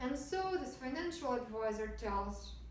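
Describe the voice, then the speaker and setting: Noticeable background noise sits behind the recording. A woman speaks with very wide pitch swings. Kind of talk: stand-up comedy speech draft. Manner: chatty, rambling.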